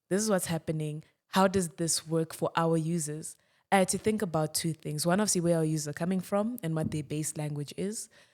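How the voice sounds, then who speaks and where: Here a woman with a Zimbabwean accent speaks at a fairly quick pace. Her voice is fairly low and her tone is animated. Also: very clean recording, silent background. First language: Shona. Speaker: tech startup founder and CEO. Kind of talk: casual podcast conversation.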